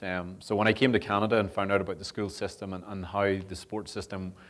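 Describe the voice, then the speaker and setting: A man's very deep, low voice in a Northern Irish accent, fairly quick and monotone, flat in intonation, on a very clean recording with a silent background. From Northern Ireland. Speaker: sport development officer and rugby coach. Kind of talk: public talk. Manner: hesitant with many fillers.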